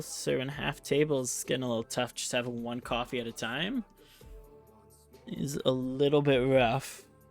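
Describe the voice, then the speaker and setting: Music plays in the background as a man with a medium pitch talks at a moderate pace, his pitch varying in an ordinary way. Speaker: game shoutcaster / commentator. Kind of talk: live game commentary. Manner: casual, conversational.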